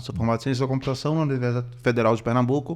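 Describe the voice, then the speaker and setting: A man with a northeastern Brazilian accent. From Recife, northeastern Brazil. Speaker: computer scientist entering health business. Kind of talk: casual podcast chat.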